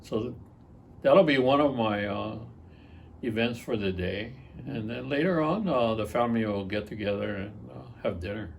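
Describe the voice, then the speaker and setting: Speaking at a moderate pace with long, frequent pauses, a man with a fairly low pitch and vocal fry uses lively intonation in a room with audible echo. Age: 70s. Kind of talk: interview. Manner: hesitant, many filler words.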